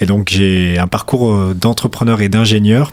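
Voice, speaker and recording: Noticeable background noise sits behind a man speaking. His pace is moderate and his intonation fairly even. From France, Hautes-Alpes. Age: 20s. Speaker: racing school founder. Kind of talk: radio interview.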